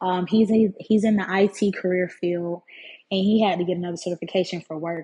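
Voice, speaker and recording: Talking at a fairly quick pace, a woman has a somewhat breathy voice. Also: medium pitch for a woman. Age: 20s. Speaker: podcaster. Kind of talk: casual monologue. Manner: animated. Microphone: phone and AirPods.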